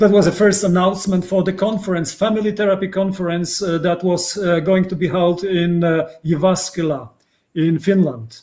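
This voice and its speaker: A man with a Polish accent speaks at a moderate pace. His pitch is high, and his intonation fairly even. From Poland. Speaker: psychotherapist. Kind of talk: interview. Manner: halting.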